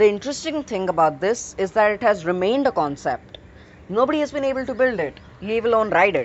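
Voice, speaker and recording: A woman with an Indian accent, fairly high pitch, very wide pitch swings, and a very fast pace. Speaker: gaming video creator. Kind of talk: gameplay narration.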